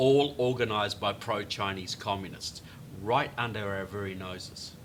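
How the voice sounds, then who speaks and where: At a moderate pace, a man with a New Zealand accent speaks with ordinary pitch variation. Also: fairly low pitch for a man. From New Zealand, Christchurch. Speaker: author. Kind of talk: political interview discussion. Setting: studio.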